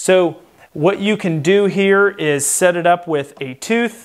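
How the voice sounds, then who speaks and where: A man talks with ordinary pitch variation over a quiet backdrop. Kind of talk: tutorial. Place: workshop.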